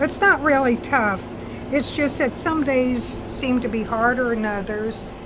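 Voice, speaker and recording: A woman's high voice at a very slow pace, ordinary in pitch variation, with audible room echo and noticeable background noise. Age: 70s. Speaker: convenience store owner. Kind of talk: interview.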